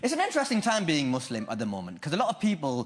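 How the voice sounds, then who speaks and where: A man with a Lancashire accent talks with very wide pitch swings. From Lancashire, northern England. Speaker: stand-up comedian. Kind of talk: stand-up. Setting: stage with audience.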